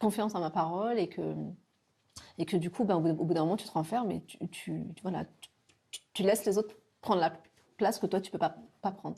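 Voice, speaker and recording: With a dark, mellow tone and vocal fry, a woman speaks at a moderate pace and medium pitch, her intonation fairly even. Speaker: person who stutters, interviewee. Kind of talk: documentary interview testimony. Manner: stutters.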